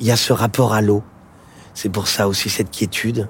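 The man's voice sounds somewhat breathy. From Paris, France. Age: 40s. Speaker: singer-songwriter. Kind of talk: casual chat. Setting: outdoors.

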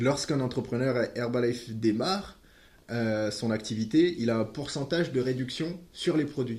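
A man with a dark, mellow tone sounds somewhat breathy, speaking at a moderate pace with ordinary pitch variation. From West Africa. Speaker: nutrition product distributor. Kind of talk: podcast interview.

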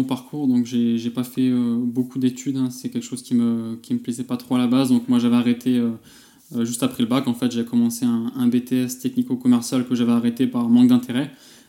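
Here a man talks at a fairly quick pace in a medium pitch. His intonation is monotone and flat, and his tone is dark and mellow. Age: 20s. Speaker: e-commerce entrepreneur, email marketer. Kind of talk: casual interview. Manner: halting, many fillers.

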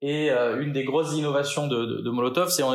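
The speech has fairly even intonation. Room echo is audible. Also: man. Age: 40s. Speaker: marketing director. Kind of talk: interview. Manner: hesitant, repeats words.

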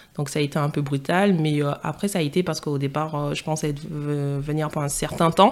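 This speech keeps a moderate pace and fairly even intonation. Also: woman, very deep, low pitch for a woman. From Martinique, then Paris region from age 12. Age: 20s. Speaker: podcast guest. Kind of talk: interview. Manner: hesitant, many fillers.

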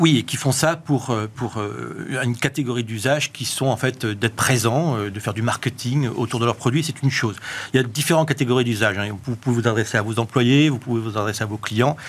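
A man speaks in a plain, everyday voice at a medium pitch. His pace is fairly quick and his intonation fairly even. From southwestern France. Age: 50s. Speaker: author and tech entrepreneur. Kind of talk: TV panel interview. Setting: studio.

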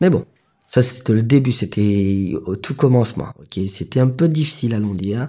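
On a very clean recording with a silent background, a man with a dark, mellow tone and medium pitch talks at a moderate pace with lively intonation. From Mauritius, Grand Baie. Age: 30s. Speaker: fishing boat owner. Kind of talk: interview testimony. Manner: hesitant, filler-heavy.

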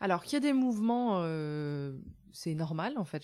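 A woman talks at a moderate pace in an ordinary speaking voice. The recording is very clean, with a silent background. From France, rural. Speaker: farmer and author. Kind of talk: interview. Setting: in her village café shop.

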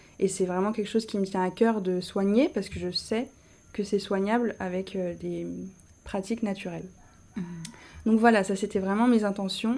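A woman's dark, mellow voice at medium pitch moves at a moderate pace with fairly even intonation and long, frequent pauses. The recording is very clean, with a silent background. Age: 20s. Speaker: architect and coaching client. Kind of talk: testimony.

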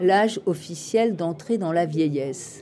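The intonation is lively. The pace is very slow. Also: woman. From France, Île-de-France (Meaux). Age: 60s. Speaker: psychoanalyst and philosophy lecturer. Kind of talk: interview conversation. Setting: outdoor urban farm venue at a festival. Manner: halting, many fillers and repetitions.

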